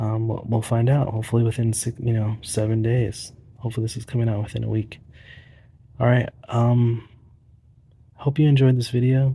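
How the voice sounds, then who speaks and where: Soft-spoken and somewhat breathy, a man with a dark, mellow tone talks at a fairly quick pace in a monotone, flat delivery, broken by long, frequent pauses. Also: medium pitch for a man. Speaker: pickleball paddle reviewer. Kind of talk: casual video monologue. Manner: hesitant.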